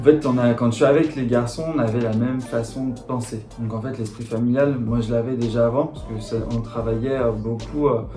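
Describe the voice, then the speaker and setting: A man at medium pitch talks at a moderate pace with hardly any pauses and monotone, flat intonation, with audible room echo and music in the background. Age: 30s. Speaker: insurance agent. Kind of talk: interview monologue. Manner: halting, many fillers.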